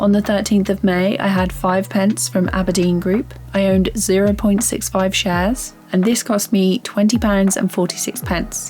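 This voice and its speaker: A woman with a British accent speaks at a medium pitch and a moderate pace, with ordinary pitch variation and hardly any pauses. Her loudness stays very even while music plays in the background. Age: 30s. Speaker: beginner investor vlogger. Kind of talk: scripted narration.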